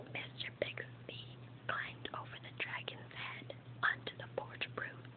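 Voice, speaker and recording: A woman whispers at a fairly slow pace, her loudness swinging widely, with noticeable noise in the background. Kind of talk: whispered ASMR reading of a children's book. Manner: whispered.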